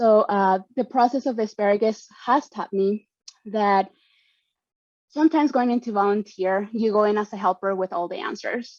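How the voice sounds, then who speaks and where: With a Spanish accent, the voice moves at a moderate pace with ordinary pitch variation and a dry, close sound without echo. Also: woman, fairly high pitch for a woman. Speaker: panelist, community volunteer and trainer. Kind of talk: prepared panel remarks. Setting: virtual event video call.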